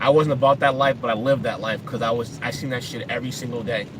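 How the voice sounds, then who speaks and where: Very fast talking from a man with an American accent, noticeable background noise underneath. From Boston, Massachusetts (Dorchester, Roxbury). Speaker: vlogger. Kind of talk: casual vlog monologue.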